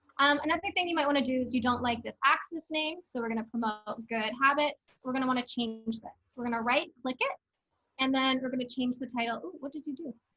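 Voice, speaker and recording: A woman's raised, projected voice, high in pitch and bright and sharp in tone, with ordinary pitch variation at a very fast pace. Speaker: teaching assistant. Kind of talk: tutorial.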